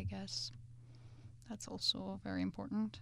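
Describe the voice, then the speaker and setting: Very clean recording of a woman's voice, background silent. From Georgia. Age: 20s. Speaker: interviewee. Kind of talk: interview answers.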